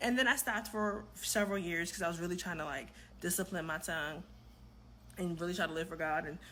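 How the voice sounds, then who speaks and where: Speaking at a fairly quick pace, a woman with a fairly low pitch shows ordinary pitch variation, a bright, sharp tone and vocal fry. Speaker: vlogger. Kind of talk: casual vlog monologue. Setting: home kitchen at night.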